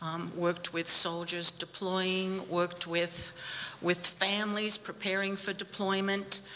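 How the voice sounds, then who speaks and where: A woman speaks at medium pitch in a monotone, flat intonation. Her pace is fairly slow, and there is noticeable background noise. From Australia. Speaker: bereaved military mother, army family support worker. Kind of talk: personal testimony talk. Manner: halting, many fillers.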